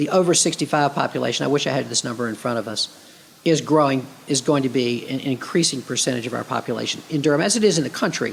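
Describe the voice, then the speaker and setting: A man talks very fast at a fairly high pitch with ordinary pitch variation. Noticeable background noise runs underneath. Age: 60s. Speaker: city mayor. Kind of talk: interview conversation.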